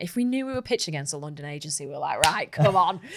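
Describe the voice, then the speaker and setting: In a Manchester accent, a woman talks with a very deep, low pitch. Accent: northern English (Manchester). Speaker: marketing executive. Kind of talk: podcast interview. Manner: animated.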